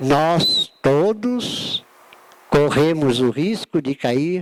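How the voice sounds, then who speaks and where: Heard with a dry, close sound and no echo, a man is speaking. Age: 60s. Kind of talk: lecture. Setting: auditorium with audience.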